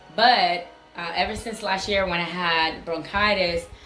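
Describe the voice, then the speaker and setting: Against noticeable background noise and audible room echo, a woman with a fairly low pitch talks at a fairly slow pace with ordinary pitch variation. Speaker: vlogger sharing health update. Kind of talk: casual vlog.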